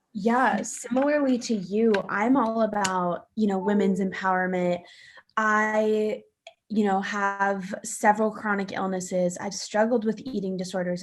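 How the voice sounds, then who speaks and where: With a normal speaking voice, a woman talks at a fairly slow pace, her medium pitch held in fairly even intonation. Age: 20s. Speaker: content creator and interviewer. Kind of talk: casual interview chat.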